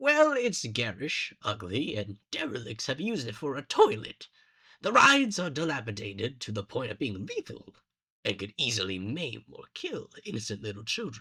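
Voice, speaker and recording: Using a put-on character voice, a man speaks in a theatrical tone at a medium pitch and a moderate pace. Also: big swings in loudness. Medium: audio drama. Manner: theatrical, sardonic.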